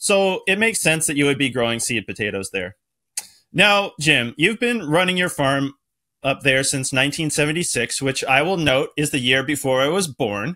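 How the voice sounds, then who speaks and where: Against a quiet background, a man speaks at a moderate pace with a bright, sharp tone. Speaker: podcast host. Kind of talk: podcast introduction. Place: home room.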